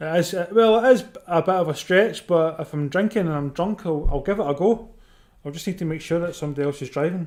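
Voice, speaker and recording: The speaker has a Scottish accent. The pace is very fast. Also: man, high pitch for a man, ordinary pitch variation. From Scotland. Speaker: football watchalong streamer. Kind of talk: casual live commentary and chat with viewers. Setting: live stream. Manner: conversational, chatty.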